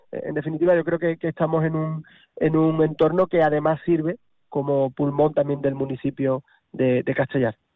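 At a moderate pace, a man talks in a fairly high voice with fairly even intonation. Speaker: mayor. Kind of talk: radio interview. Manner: halting.

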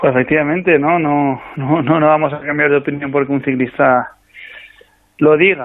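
Here a man speaks at a moderate pace with a fairly high pitch. His intonation stays monotone and flat. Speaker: national cycling team coach. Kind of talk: radio interview.

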